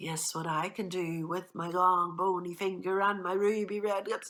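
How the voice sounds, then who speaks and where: Someone puts on a character voice with a menacing tone, speaking at a moderate pace. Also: woman, medium pitch for a woman. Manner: spooky, menacing.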